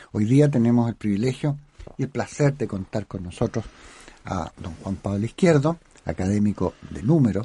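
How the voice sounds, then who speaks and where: A man with a dark, mellow, somewhat breathy tone speaks with lively intonation. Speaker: radio host and academic. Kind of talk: radio interview. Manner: formal.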